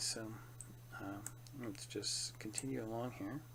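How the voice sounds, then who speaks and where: The man's pitch sits in the medium range. There is a somewhat breathy quality to his speech. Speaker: 3D artist. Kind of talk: software tutorial narration. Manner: bored-sounding.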